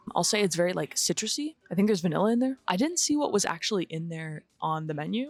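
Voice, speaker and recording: A woman with an American accent speaks quietly at a medium pitch and a fairly quick pace. The sound is dry and close, with no echo. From Los Angeles. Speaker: lifestyle vlogger. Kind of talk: casual vlog talk. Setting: outdoor cafe patio.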